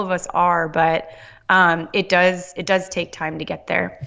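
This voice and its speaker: A woman speaks with an American accent. Her pitch sits in the middle range. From Southern California. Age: 30s. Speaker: holistic nutrition practitioner. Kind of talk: interview.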